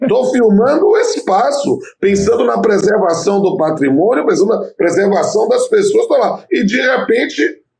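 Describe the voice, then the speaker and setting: A man speaks at an extremely high pitch with very wide pitch swings. He keeps a moderate pace with hardly any pauses. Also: very even loudness. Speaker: labor judge and law professor. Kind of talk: casual interview chat.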